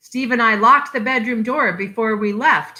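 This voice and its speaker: Using a put-on character voice, a woman speaks at a fairly high pitch. Her pace is moderate. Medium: read story.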